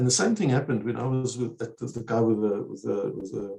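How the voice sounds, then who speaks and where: Somewhat breathy speech moves at a fairly quick pace with ordinary pitch variation over a quiet background. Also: man. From South Africa, Eastern Cape. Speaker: researcher; interview guest. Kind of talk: webinar Q&A discussion. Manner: fast. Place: home room. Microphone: earbuds.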